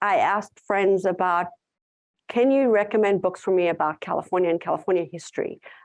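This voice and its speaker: Over a quiet background, a woman with a South African accent talks very fast at a medium pitch with ordinary pitch variation. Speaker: tourism content writer and conference speaker. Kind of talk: conference talk with audience Q&A.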